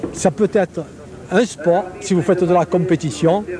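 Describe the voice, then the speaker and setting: Noticeable background noise is present. A high-pitched man talks with ordinary pitch variation. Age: 60s. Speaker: pétanque official interviewed. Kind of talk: interview. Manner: animated.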